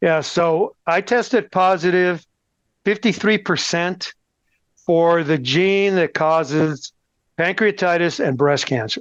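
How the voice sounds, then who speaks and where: Very slow speech in an American accent keeps a very even loudness throughout. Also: man, high pitch for a man, ordinary pitch variation, quiet background. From Texas, El Paso. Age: 60s. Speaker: cancer patient. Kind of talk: interview.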